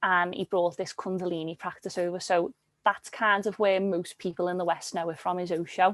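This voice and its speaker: A woman with a Liverpool accent talks at a fairly quick pace in a medium pitch and a flat monotone, her voice dry and close with no echo over a quiet background. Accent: Liverpool (Scouse) English. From Liverpool, England. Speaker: yoga teacher and workshop facilitator. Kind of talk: interview.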